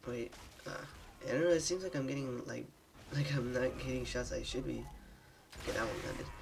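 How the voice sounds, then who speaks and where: Music plays behind a man talking fairly quickly. He leaves long, frequent pauses. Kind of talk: gameplay commentary. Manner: casual, hesitant.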